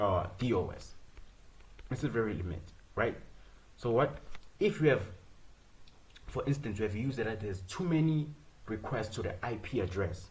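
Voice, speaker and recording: With long, frequent pauses, a somewhat breathy man of medium pitch speaks with lively intonation. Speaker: student presenting software project. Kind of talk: screen-share code walkthrough. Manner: fast; rhetorical questions, repetitive fillers.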